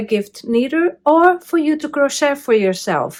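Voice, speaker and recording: Woman with a Brazilian Portuguese accent and lively intonation, on a very clean recording over a silent background. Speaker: crafting YouTuber. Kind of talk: tutorial-style video talk. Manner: hesitant with many fillers.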